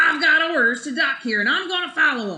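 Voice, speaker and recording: A woman puts on a character voice, pitched extremely high. She delivers it at a fairly quick pace. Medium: read story. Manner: salty sea-dog exclamations.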